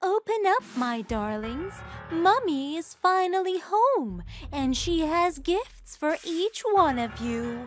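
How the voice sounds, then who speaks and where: In a put-on character voice, a soft-spoken woman speaks at a fairly slow pace, her extremely high pitch moving in very wide swings. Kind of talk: coaxing, sweet. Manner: soft, motherly.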